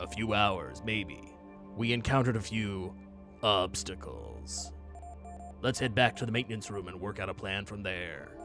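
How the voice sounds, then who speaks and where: A man puts on a character voice at a fairly low pitch and a moderate pace, with long, frequent pauses. Clear music plays in the background. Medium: game stream. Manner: calm, practical.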